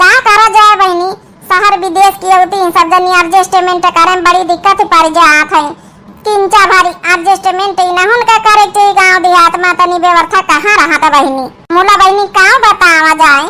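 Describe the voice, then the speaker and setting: In a cartoonish character voice at an extremely high pitch, a woman speaks at a moderate pace with fairly even intonation and very even loudness. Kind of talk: comic cartoon voice acting. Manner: commiserating, chatty.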